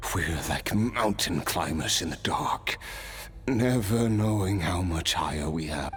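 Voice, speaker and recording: A man talks at a fairly slow pace in a cartoonish character voice with a very deep, low pitch. Clear background noise runs behind him. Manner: wry, laughing softly.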